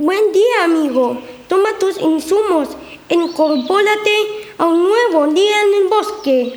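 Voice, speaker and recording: At a fairly slow pace, the voice sits at an extremely high pitch. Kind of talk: school radio drama. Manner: cheerful, eager.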